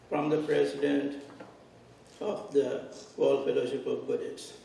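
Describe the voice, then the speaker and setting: A man's voice carries audible room echo. There is noticeable background noise. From Sri Lanka. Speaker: Buddhist monk. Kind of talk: formal speech.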